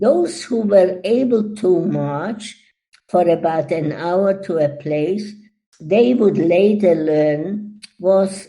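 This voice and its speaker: Very slowly, a woman speaks in a dark, mellow tone with ordinary pitch variation. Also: medium pitch for a woman. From Czechoslovakia. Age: 80s+. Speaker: Holocaust survivor. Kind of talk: testimony talk.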